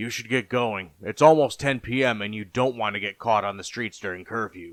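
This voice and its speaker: Putting on a raspy character voice, a man talks at a fairly quick pace at a medium pitch with big swings in loudness. The recording is very clean, with a silent background. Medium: read story.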